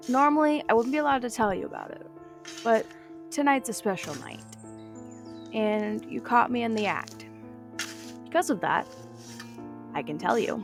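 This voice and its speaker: The talking proceeds at a moderate pace. Behind it, music is playing. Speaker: narrator. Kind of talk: horror story narration.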